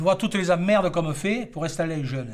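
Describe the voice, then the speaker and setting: A man speaks with a high-pitched voice. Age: 70s. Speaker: retiring farmer and horse breeder. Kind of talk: interview testimony.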